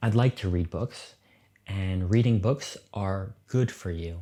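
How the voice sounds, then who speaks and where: A dark, mellow voice with an American accent, very slow and fairly even in intonation, in a very clean recording with a silent background. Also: man. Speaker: English teacher podcaster. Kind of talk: slow educational podcast talk. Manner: slow, clear.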